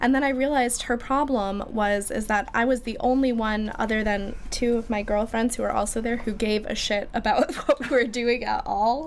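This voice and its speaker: Over noticeable background noise, a woman speaks at a moderate pace in a Midwestern American accent. Her pitch is high, with ordinary variation. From Michigan, US. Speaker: musician. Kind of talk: casual chat.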